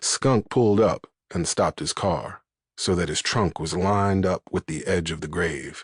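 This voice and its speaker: In a quiet background with a dry, close sound and no echo, a man speaks at a moderate pace with a very deep, low pitch and ordinary pitch variation. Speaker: audiobook narrator. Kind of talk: crime novel audiobook narration.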